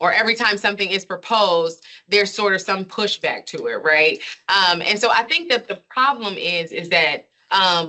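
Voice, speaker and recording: A woman talks in an ordinary speaking voice with an American accent. Her pitch is medium, with ordinary pitch variation. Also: moderate pace. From Chicago, US Midwest. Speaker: educator and researcher. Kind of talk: lecture Q&A.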